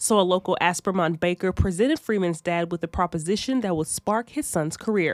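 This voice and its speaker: A woman with an unremarkable speaking voice talks at a fairly quick pace with hardly any pauses, a medium pitch and ordinary pitch variation, in a very clean recording with a silent background. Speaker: TV news reporter. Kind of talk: TV news report narration.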